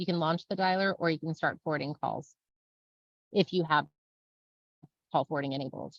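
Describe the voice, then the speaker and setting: Her voice sits very deep and low with vocal fry and ordinary pitch variation, and the sound is dry and close with no echo. The woman talks at a fairly quick pace but leaves long, frequent pauses. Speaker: software trainer. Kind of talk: webinar tutorial. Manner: fast; casual.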